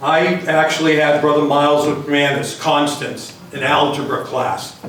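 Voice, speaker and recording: With a Boston accent, a man speaks very slowly at a fairly high pitch, amid audible room echo and noticeable background noise. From Massachusetts (Everett, Greater Boston). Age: 60s. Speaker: hall of fame inductee. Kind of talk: acceptance speech.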